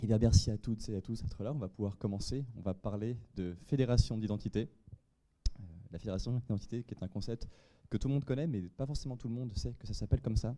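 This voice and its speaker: A man's medium-pitched voice, dark and mellow in tone, very fast, with ordinary pitch variation. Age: 30s. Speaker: software engineer. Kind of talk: conference talk. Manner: halting, frequent fillers and repetitions.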